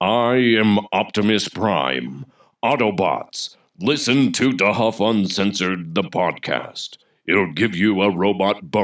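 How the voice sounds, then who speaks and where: A man puts on a booming character voice, fairly low in pitch, with lively intonation. He speaks at a fairly slow pace in a very clean recording with a silent background. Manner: heroic, commanding.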